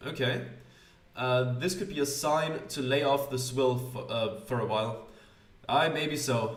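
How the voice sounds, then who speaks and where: Amid noticeable background noise and audible room echo, a man with a non-native accent speaks at a fairly slow pace with ordinary pitch variation. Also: medium pitch for a man. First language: not English. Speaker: gaming youtuber. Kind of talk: let's play commentary reading game text aloud. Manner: hesitant, many fillers.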